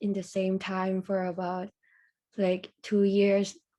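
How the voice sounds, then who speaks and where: With a Thai accent, a woman speaks at a medium pitch in a dark, mellow tone and monotone, flat intonation on a very clean recording with a silent background. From Thailand. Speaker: university student. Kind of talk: casual interview. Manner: hesitant.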